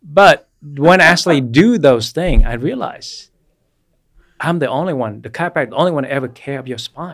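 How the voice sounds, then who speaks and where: With a Vietnamese accent, a man speaks at a fairly quick pace in a fairly high pitch, his intonation lively and his loudness swinging widely. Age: 40s. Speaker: chiropractor. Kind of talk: casual chat.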